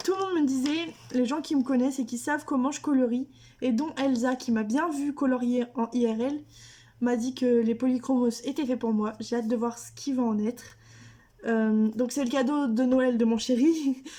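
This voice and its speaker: A woman speaks at a high pitch with a dark, mellow tone. Her pace is moderate and her intonation fairly even. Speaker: YouTuber, adult coloring hobbyist. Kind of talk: casual haul video to camera.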